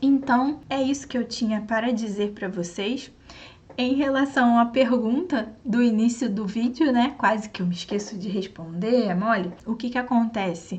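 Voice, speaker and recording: In a Brazilian accent, a woman talks at a fairly slow pace with fairly high pitch, ordinary pitch variation and audible room echo. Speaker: online science teacher. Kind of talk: sales pitch; lecture.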